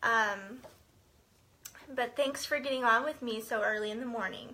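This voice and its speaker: Her tone is bright and sharp, and she speaks with an American accent. This woman's pitch is fairly high, her pace moderate and her intonation fairly even. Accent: slight Southern, comes out sometimes. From Central Texas. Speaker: direct sales consultant and team leader. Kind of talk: live-stream team training. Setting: Facebook live video. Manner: casual, many fillers.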